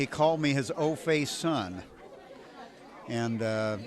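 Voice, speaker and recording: Against crowd noise in the background, a man speaks with ordinary pitch variation. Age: 60s. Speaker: ragtime pianist. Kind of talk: interview. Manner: halting, many repetitions.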